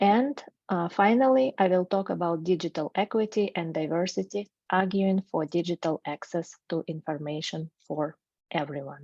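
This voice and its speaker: A woman with a Russian accent and fairly low pitch at a moderate pace, with ordinary pitch variation, a dry, close sound with no echo, and a quiet background. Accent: non-native English, Russian. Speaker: researcher, graduate student. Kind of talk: academic presentation. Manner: hesitant, with filler sounds.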